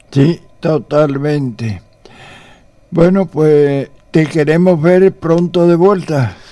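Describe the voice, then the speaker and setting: A man with a fairly high pitch speaks in a dark, mellow tone, very slowly and with long, frequent pauses. His pitch variation is ordinary, loudness very even, and the background quiet. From Spain. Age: 80s+. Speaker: priest and radio host. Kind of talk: radio interview. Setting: radio studio. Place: studio. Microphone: studio mic.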